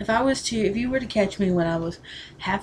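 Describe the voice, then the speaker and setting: A woman talks at a fairly quick pace with a Southern US accent. Light background noise can be heard. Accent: Southern American. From Southern US, Tennessee. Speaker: vlogger. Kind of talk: casual talk to camera. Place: home room. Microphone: webcam.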